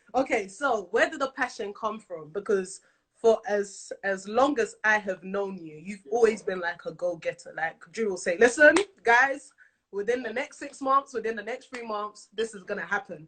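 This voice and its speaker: A fairly high-pitched woman with a London accent, animated in tone, ordinary pitch variation, and big swings in loudness. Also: moderate pace. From London, England. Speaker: talk show host. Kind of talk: live interview chat. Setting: live video stream.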